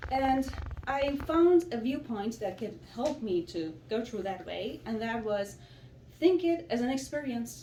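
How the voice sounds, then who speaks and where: Her intonation is lively as the woman talks at a moderate pace in a fairly high pitch. Background noise is noticeable. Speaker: immigrant, psychology graduate. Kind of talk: public speech.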